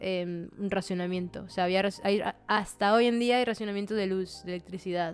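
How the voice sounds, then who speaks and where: An ordinary speaking voice. It moves at a moderate pace with fairly even intonation. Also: woman, medium pitch for a woman. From Venezuela. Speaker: graphic designer. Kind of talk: casual chat.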